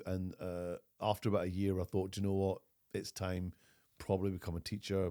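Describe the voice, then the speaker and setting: With a Scottish accent, a man speaks in a very deep, low pitch and a dark, mellow tone, his intonation monotone and flat, in a very clean recording with a silent background. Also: fairly quick pace, dry, close sound with no echo. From Glasgow. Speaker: actor and comedian. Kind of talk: interview answer.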